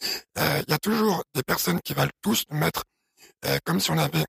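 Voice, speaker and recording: Speaking at a fairly quick pace, a man with vocal fry and a medium pitch makes very wide pitch swings in a dry, close sound with no echo. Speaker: podcast co-host, entrepreneur. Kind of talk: casual chat.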